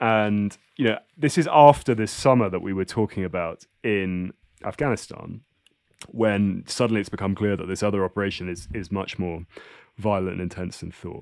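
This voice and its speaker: A southern English accent at a moderate pace with ordinary pitch variation, in a very clean recording against a silent background. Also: man, fairly low pitch for a man. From England. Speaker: writer. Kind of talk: interview conversation. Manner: halting, repeating words.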